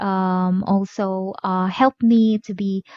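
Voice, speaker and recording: A woman is speaking. She has a Filipino accent. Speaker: mom vlogger teaching productivity app. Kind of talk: tutorial. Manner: halting, many fillers.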